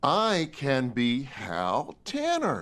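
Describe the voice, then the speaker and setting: A man puts on a character voice. It is fairly high in pitch, with very wide pitch swings. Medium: read story.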